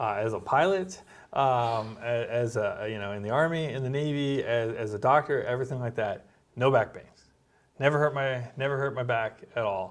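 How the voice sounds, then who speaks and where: At a moderate pace, a man talks in an unremarkable speaking voice at a medium pitch. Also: ordinary pitch variation. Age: 40s. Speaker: doctor and military veteran. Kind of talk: casual chat.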